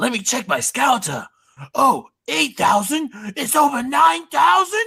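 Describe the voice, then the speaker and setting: The high-pitched, put-on character voice moves at a fairly slow pace. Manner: scornful, dramatic villain delivery.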